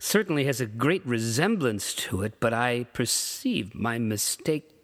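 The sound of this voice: The reading voice is unforced, and its intonation is lively.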